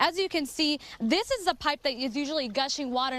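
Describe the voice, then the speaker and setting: There is noticeable background noise as a woman speaks at a fairly quick pace. She uses ordinary pitch variation. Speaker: TV news reporter. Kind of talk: TV news report.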